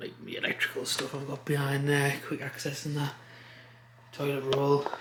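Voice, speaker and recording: Amid noticeable background noise, a man talks at a moderate pace and a fairly high pitch. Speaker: vlogger. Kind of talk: casual vlog. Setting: basement room, then outdoors. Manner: whispering a bit; casual, filler-heavy.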